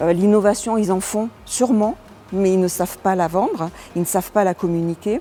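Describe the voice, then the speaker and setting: Noticeable background noise is present. Over it, a woman talks at a medium pitch. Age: 60s. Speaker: business owner and election candidate. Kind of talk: interview. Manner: hesitant, many fillers.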